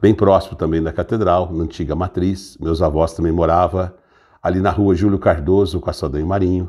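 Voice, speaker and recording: In a very clean recording with a silent background, a man speaks at a moderate pace with a very deep, low pitch, a dark, mellow and somewhat breathy tone, and ordinary pitch variation. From Brazil, Franca (São Paulo state). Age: 60s. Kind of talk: personal testimony. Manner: halting, with self-corrections.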